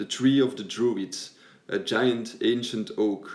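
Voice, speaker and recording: A man with a non-native accent speaks at medium pitch with ordinary pitch variation. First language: not English. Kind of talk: video essay narration.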